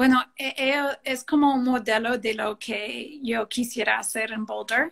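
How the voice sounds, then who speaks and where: A woman with a non-native accent speaks at a fairly slow pace. Her pitch is high and her intonation fairly even. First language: English (speaking Spanish). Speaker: participatory urban planning director. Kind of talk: interview. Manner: halting, frequent fillers.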